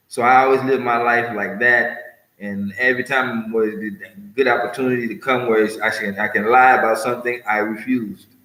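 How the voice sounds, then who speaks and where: A man with a medium pitch talks fairly quickly. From US West Coast, California. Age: 60s. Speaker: vlogger, martial arts teacher. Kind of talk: personal monologue vlog. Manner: rambling, hesitant with fillers.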